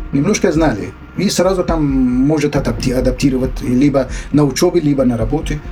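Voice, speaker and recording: Amid noticeable background noise, a man with a fairly high pitch talks at a fairly quick pace, with very even loudness and ordinary pitch variation. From Afghanistan. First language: Dari (speaking Russian). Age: 60s. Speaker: refugee, former journalist. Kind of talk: interview testimony. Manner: halting, many hesitations.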